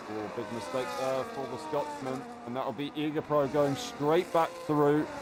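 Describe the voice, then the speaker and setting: A man shouts loudly in a fairly high pitch with very wide pitch swings. He goes at a fairly slow pace over noticeable background noise. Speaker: sim racing league commentator. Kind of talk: live commentary. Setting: live stream. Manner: loud, near shouting. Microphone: audio cutting out, streaming software issue.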